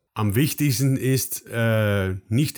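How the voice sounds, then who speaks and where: Someone with a Dutch accent speaks at a fairly slow pace with ordinary pitch variation in a very clean recording with a silent background. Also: man. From Netherlands. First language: Dutch (speaking German). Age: 50s. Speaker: dairy farming advisor. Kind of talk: interview. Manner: halting, many fillers.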